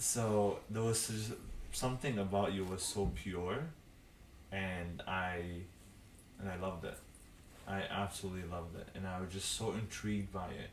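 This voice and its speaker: In a non-native accent, a man with a very deep, low voice speaks with fairly even intonation amid audible room echo. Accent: foreign. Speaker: podcast co-host. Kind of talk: casual chat.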